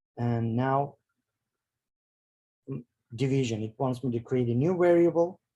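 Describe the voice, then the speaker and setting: Somewhat breathy and dark, mellow in tone, a man talks at a medium pitch and a fairly slow pace, with ordinary pitch variation. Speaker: bioinformatics workshop instructor. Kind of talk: tutorial. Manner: halting, many fillers.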